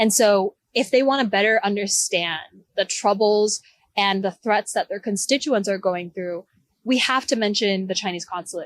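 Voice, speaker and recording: A woman with an American accent has a plain, everyday voice at a medium pitch, talking at a moderate pace with ordinary pitch variation in a dry, close sound with no echo. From Texas. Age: 20s. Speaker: researcher and activist. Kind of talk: interview. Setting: outdoors at a rally.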